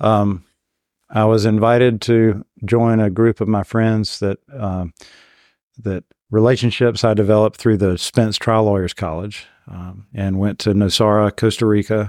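In a very clean, dry and close recording with no echo and a silent background, a man with an American accent speaks at a fairly slow pace in a fairly low pitch with monotone, flat intonation. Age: 50s. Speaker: medical malpractice lawyer. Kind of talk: casual interview. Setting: in person, New Orleans.

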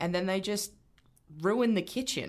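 Speaking with an Australian accent, this woman takes a fairly slow pace. She does not hurry. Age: 20s. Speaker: union organiser and activist. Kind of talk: casual chat.

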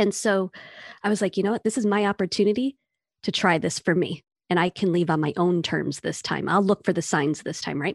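A plain, everyday voice with ordinary pitch variation comes through against a quiet background. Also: woman, medium pitch for a woman. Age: 30s. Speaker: therapist and burnout educator. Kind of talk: casual chat.

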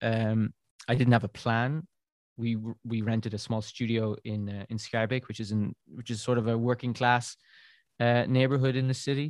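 In a southern Irish accent, a man of medium pitch speaks at a moderate pace with monotone, flat intonation and a dry, close sound with no echo. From southern Ireland, near Cork. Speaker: beer writer and podcaster. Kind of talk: interview. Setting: remote call from an attic.

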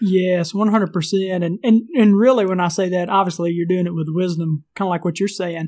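This man has a Southern US accent and a high pitch. He talks at a fairly quick pace with hardly any pauses. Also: fairly even intonation. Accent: Southern US country. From US South. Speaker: entrepreneur and leadership trainer. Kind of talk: casual interview chat.

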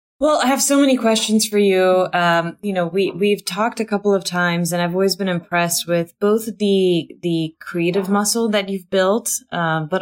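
This woman has a normal speaking voice at medium pitch with ordinary pitch variation, moving at a moderate pace with hardly any pauses. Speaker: podcast host. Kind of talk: casual interview conversation.

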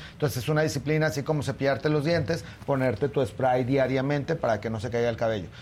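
A man at a medium pitch and very fast pace, somewhat breathy, with ordinary pitch variation. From Torreón, Mexico. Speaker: dermatologist. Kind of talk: tutorial.

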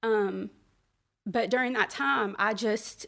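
Vocal fry runs through this woman's voice. She talks with an American accent. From US South, Birmingham, Alabama. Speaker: speaker sharing personal faith testimony. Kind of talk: testimony. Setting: live gathering with audience.

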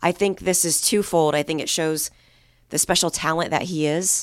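Speaking at a moderate pace, a woman has a very deep, low pitch, captured in a very clean recording with a silent background. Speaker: sports podcast host. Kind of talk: sports recap discussion.

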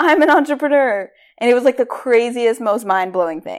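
In a very clean recording with a silent background, a woman speaks in an animated tone with very wide pitch swings. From US Northeast, Rhode Island. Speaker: podcast host, career coach. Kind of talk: motivational monologue.

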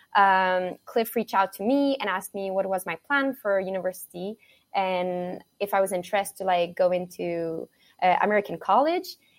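In a Quebec accent, a woman speaks at a medium pitch and moderate pace with ordinary pitch variation, the sound dry and close with no echo on a very clean recording with a silent background. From Quebec, Montreal. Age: 20s. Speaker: college triathlete. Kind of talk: interview.

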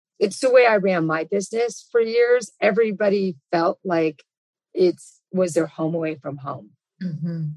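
A woman with an American accent talks at a moderate pace with ordinary pitch variation. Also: medium pitch for a woman. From Los Angeles, US. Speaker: fitness company executive. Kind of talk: interview.

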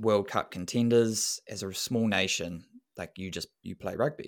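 On a very clean recording with a silent background, a man with a New Zealand accent speaks at a fairly slow pace with fairly even intonation. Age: 30s. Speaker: running coach and sports scientist. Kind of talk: casual interview.

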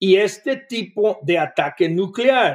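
A man's voice, high in pitch. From Costa Rica. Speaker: former defense official. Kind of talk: interview.

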